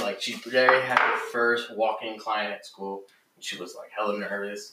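The man's pace stays moderate. His voice carries audible room echo. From Southern California, Westminster. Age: 20s. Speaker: barber. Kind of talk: casual chat.

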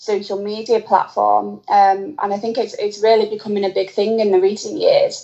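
A woman with an ordinary speaking voice talks at a moderate pace in a fairly high pitch. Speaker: personal trainer and fan. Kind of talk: casual interview chat.

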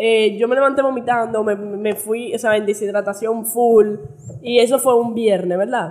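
A woman with a normal speaking voice talks at a fairly high pitch and a moderate pace, keeping her intonation fairly even. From United States. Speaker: podcast host. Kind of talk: casual chat.

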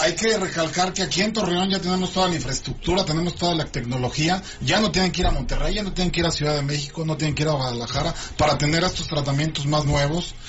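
Audible room echo and noticeable background noise around very fast talk with ordinary pitch variation. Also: man, high pitch for a man. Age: 30s. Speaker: radio health show host and doctor. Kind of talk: radio talk show. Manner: halting.

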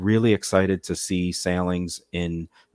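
In a very clean recording with a silent background and a dry, close sound with no echo, a man with an American accent speaks at a very deep, low pitch with fairly even intonation. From Massachusetts. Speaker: cruise line sales manager. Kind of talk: casual interview.

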